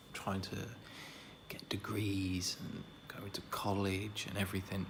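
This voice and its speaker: A man whispers. He is soft-spoken. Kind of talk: ASMR roleplay whispering to a friend. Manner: whispered, soft-spoken.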